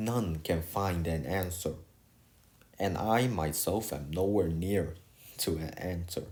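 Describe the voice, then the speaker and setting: Speaking at a very slow pace with a non-native accent, a man sounds somewhat breathy and uses ordinary pitch variation. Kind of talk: casual video essay talk. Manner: hesitant, rambling.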